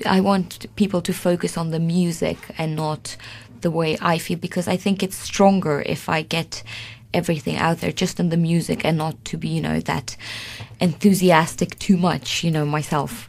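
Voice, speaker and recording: Fairly even intonation at a moderate pace comes through over noticeable background noise. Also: woman, fairly low pitch for a woman. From Sweden. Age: 20s. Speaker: concert pianist. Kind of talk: interview. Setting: radio studio.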